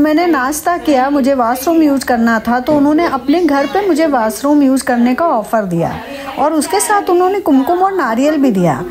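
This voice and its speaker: Against noticeable background noise, a woman with a high pitch speaks with lively intonation, hardly any pauses and very even loudness. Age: 50s. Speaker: travel vlogger. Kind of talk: scripted narration.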